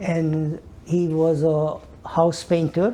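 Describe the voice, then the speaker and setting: A man speaks with a Hungarian accent. His pitch is fairly high. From Hungary. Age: 80s+. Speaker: Holocaust survivor. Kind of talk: oral history interview. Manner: halting.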